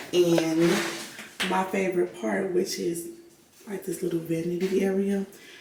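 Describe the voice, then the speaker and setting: A woman speaks at a fairly low pitch and a fairly slow pace, her intonation fairly even. Noticeable background noise and audible room echo surround her voice. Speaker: vlogger. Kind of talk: casual vlog talk. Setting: indoors at a rental apartment.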